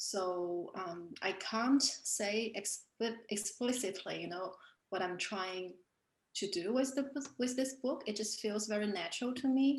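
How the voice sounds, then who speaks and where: A woman speaks with a Chinese accent at a medium pitch. Her pace is very slow and her pitch variation ordinary. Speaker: artist and author. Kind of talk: panel discussion. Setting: online video event.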